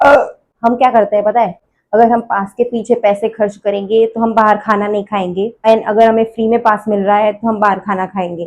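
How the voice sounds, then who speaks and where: Speaking at a moderate pace, a woman uses a fairly high pitch in a monotone, flat intonation. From Gujarat, India. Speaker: vlogger. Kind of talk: casual vlog talk.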